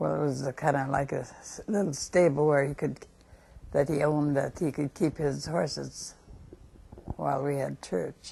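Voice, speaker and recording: In an American accent, a woman speaks with a very deep, low pitch, vocal fry, ordinary pitch variation and a dark, mellow tone. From North Dakota, USA. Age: 80s+. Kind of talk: life story interview answer. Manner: slow, hesitant.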